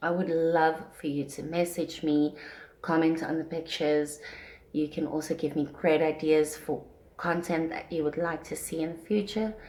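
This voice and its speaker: A soft-spoken woman's very deep, low voice, dark and mellow, in a monotone, flat delivery. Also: moderate pace. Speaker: parenting vlogger. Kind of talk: casual vlog talk. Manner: soft-spoken, speaking quietly; usually loud.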